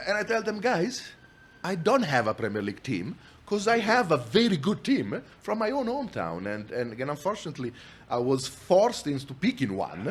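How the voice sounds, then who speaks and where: In an Italian accent, a man with a fairly high pitch speaks at a fairly quick pace, his pitch swinging very widely. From Italy, Milan. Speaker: entrepreneur, company founder. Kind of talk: podcast interview. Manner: frequent repetitions and restarts.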